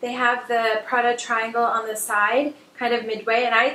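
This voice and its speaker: Noticeable background noise runs behind the recording. A woman speaks in a high pitch. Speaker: fashion vlogger. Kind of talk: casual haul video monologue. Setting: home video recording under bright lights. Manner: fast; hesitant with fillers.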